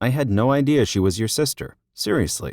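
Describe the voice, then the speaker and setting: Using a put-on character voice, a man speaks fairly quickly at medium pitch on a very clean recording with a silent background. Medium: read story.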